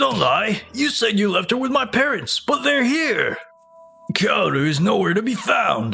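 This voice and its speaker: Faint music plays behind a man doing a put-on character voice, raised and projected at an extremely high pitch. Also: moderate pace. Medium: fan dub. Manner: flustered, stammering.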